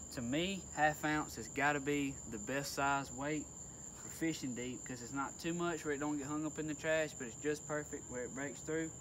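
A man at a moderate pace with fairly even intonation and light background noise. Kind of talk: tutorial. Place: boat. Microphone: phone near.

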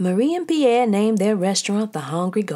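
The unforced reading voice has lively intonation.

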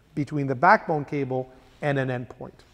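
Nothing stirs in the background. A man talks at a moderate speed. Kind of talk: tutorial. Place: studio.

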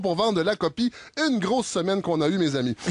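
A man talks very fast in a Quebec accent over noticeable background noise. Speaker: satirical radio columnist. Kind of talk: scripted satirical commentary.

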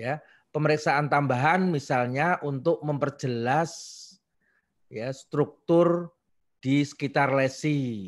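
The man talks at a very slow pace. His pitch moves with ordinary variation. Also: quiet background. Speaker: neurosurgery professor. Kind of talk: lecture. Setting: video call. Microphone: video call.

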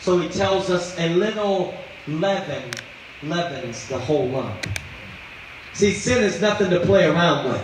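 Fairly slow speech from a man, with light background noise and audible room echo. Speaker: pastor. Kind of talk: sermon. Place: church. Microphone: handheld.

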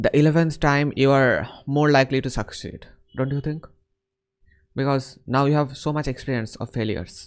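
Against a quiet background, a man with a Bengali accent talks at a moderate pace, his pitch fairly high and his intonation fairly even. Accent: Indian English, Bengali-accented. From India. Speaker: online chat host practicing English. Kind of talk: casual chat. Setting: video call. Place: home room. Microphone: studio mic.

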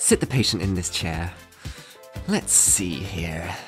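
With faint music in the background, a cartoonish character voice moves at a slow pace through big pitch swings. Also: man, low pitch for a man.

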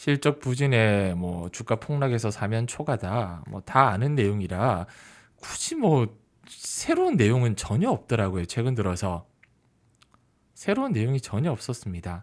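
At a fairly slow pace, a man with a plain, everyday voice speaks at a medium pitch using lively intonation. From Busan, South Korea. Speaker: stock market YouTuber, former journalist. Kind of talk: solo market commentary.

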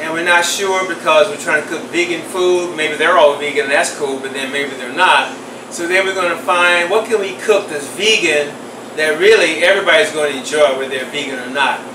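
Amid noticeable background noise, a high-pitched man speaks at a moderate pace with ordinary pitch variation. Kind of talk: tutorial. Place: kitchen.

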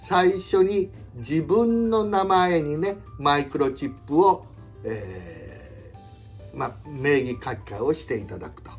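A man is talking while faint music plays behind him. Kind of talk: explanatory talk to viewers. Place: home room. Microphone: phone near.

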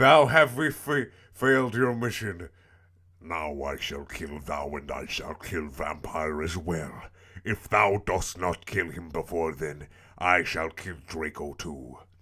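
A man puts on a raspy character voice, very deep and low, and speaks at a fairly slow pace. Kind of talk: archaic, thou/dost phrasing. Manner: evil, menacing.

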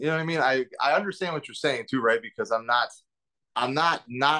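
A man's bright, sharp tone against a quiet background. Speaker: remote interviewee. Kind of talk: interview answer. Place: kitchen. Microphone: video call.

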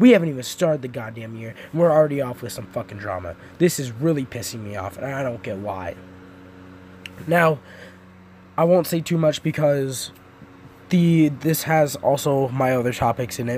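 A furious tone, somewhat breathy, with lively intonation and long, frequent pauses. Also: man, fairly high pitch for a man, moderate pace. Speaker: gaming YouTuber. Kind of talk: profanity-laced angry rant at YouTube drama. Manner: furious, swearing constantly, exasperated; rambling with fillers and restarts.

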